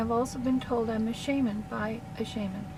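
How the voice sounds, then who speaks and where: Noticeable background noise sits behind a woman speaking at a moderate pace. Her pitch is fairly high and her intonation fairly even. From Canada. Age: 60s. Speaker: counselor. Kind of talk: casual monologue. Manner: rambling, hesitant with fillers.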